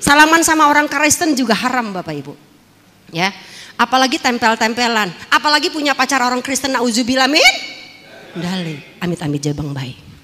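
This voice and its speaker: Against noticeable background noise, a woman talks at a fairly quick pace in a high pitch. Her pitch swings very widely, and her loudness shifts a lot. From Jakarta, Tanjung Priok. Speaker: former dangdut singer and actress giving testimony. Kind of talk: testimony.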